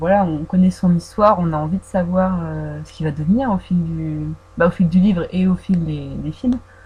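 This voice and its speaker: Noticeable noise sits in the background. A woman talks at a fairly slow speed. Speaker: fan vlogger. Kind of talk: casual audio Q&A about films. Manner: hesitant, many fillers; trying to articulate carefully.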